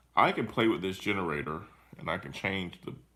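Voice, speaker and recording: A man speaks with a very deep, low pitch and vocal fry. His tone is bright and sharp, and his pace fairly quick. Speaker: teacher. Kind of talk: tutorial. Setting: live stream screen recording.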